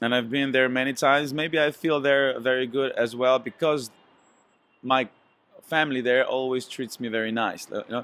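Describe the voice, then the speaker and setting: Here a man speaks with a Slovenian accent at a fairly quick pace. His pitch is medium and his intonation fairly even. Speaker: singer. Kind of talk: interview. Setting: hotel. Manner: hesitant, many fillers.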